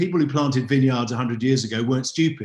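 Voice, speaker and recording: Here is a man with an English accent. His voice is somewhat breathy. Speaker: wine expert. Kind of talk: online masterclass talk.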